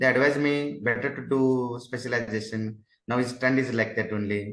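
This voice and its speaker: Audible room echo surrounds a man speaking at a moderate pace. His pitch is medium, his intonation fairly even. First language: Kannada. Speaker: government doctor, exam topper. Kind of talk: interview. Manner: halting, many fillers.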